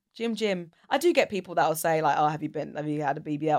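A woman with a British accent and a very deep, low pitch speaks very fast with ordinary pitch variation on a very clean recording with a silent background. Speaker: voiceover artist and radio presenter. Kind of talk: casual chat. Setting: podcast studio.

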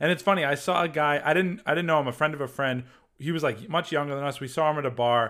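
Speaking very fast, a man with an American accent has a fairly high pitch. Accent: Boston accent, coming back. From Massachusetts. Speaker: comedy video creator. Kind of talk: casual chat. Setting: video call.

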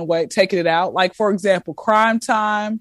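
An unremarkable speaking voice, this woman talks with an American accent at a medium pitch and fairly quick pace, with ordinary pitch variation. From US South, Atlanta. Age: 20s. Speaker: comedian. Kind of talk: casual chat. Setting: video call.

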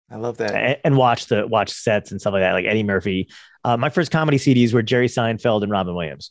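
A man's unremarkable speaking voice at medium pitch with an American accent, fairly quick pace and ordinary pitch variation, in a dry, close sound with no echo and a quiet background. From New Jersey. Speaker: comedian. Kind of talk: casual chat.

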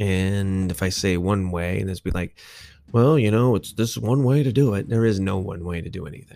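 This very clean recording has a silent background. A man speaks in a dark, mellow tone at a fairly low pitch. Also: ordinary pitch variation, moderate pace. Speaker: podcast host. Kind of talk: casual solo podcast monologue. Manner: casual, profane, rambling.

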